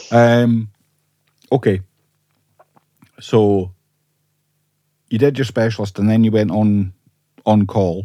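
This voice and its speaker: Speaking in a Scottish Borders accent, a man with a fairly low pitch and a dark, mellow tone goes at a very slow pace with fairly even intonation and long, frequent pauses. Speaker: podcast host. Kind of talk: interview.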